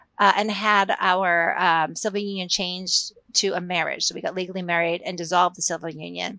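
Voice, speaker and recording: Speaking with an American accent, a woman uses a bright, sharp tone, medium pitch and ordinary pitch variation at a moderate pace. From Massachusetts. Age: 50s. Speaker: sociology professor. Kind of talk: interview.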